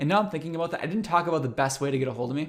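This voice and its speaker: A man on a very clean recording against a silent background. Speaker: university instructor. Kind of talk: recorded lecture. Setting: recorded course video. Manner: fast.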